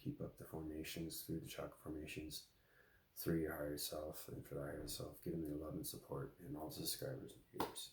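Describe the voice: A man puts on a raspy character voice with a very deep, low pitch, talking at a fairly quick pace.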